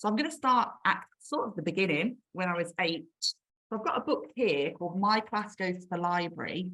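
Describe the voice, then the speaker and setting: At a moderate pace and with hardly any pauses, a woman speaks in a medium pitch with a bright, sharp tone and lively intonation. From Birmingham, England. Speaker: children's author. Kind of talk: author talk. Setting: video call. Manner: casual, with frequent fillers.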